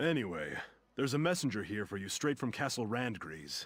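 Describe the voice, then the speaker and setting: The voice is a put-on character voice with very wide pitch swings. It moves at a fairly quick pace. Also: man, medium pitch for a man. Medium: video game. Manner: dry, sarcastic.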